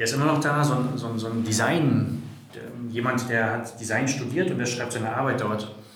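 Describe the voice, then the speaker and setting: A man speaks at a medium pitch and a moderate pace with ordinary pitch variation. Noticeable background noise and audible room echo fill the recording. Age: 40s. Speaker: data and organisational development expert. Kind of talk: casual interview conversation.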